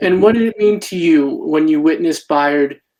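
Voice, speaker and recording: A man uses a normal speaking voice and fairly even intonation, talking at a moderate pace. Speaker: community activist, interviewer. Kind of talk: interview questions.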